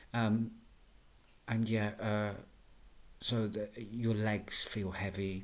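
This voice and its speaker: A man speaks at a medium pitch with a somewhat breathy voice and audible echo from the room. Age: 40s. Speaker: vlogger with fibromyalgia. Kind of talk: personal video diary. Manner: halting, many fillers and repeats.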